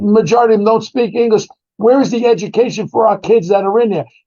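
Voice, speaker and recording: A man speaks with a New York accent and an animated tone. His pitch sits high for a man. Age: 70s. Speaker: former police detective. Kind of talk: interview commentary.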